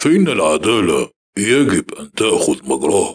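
A man puts on a character voice with a stern tone. He speaks at a very slow pace. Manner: cold, unmoved, stern.

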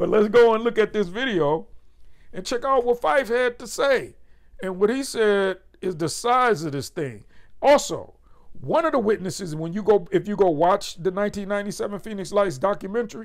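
In a quiet background, a man talks at a moderate pace with lively intonation. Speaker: show host. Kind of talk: casual commentary. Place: home room.

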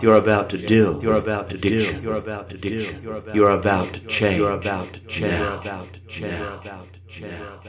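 A man talks at a moderate pace and a fairly low pitch, in a monotone, flat delivery with big swings in loudness. Noticeable background noise is present. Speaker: clinical hypnotherapist. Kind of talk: hypnosis session, guided relaxation. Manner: calm, soothing.

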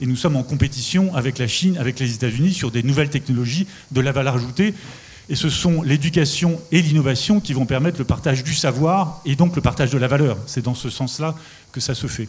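Ordinary pitch variation and a fairly quick pace from a man with a fairly high voice. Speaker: industrial company executive. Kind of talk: panel discussion. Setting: stage with audience. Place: stage. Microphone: handheld.

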